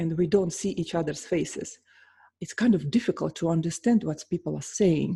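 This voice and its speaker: With a Russian accent, the voice sounds somewhat breathy and has a dark, mellow tone on a very clean recording with a silent background. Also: woman. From Russia, St. Petersburg. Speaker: pianist and vocal coach. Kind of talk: casual vlog talk.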